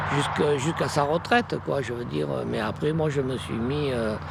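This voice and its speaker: Noticeable background noise and audible room echo accompany a man talking fairly slowly. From Provence, Vaucluse (France). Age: 70s. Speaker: retired farmer. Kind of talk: interview. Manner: halting, many hesitations.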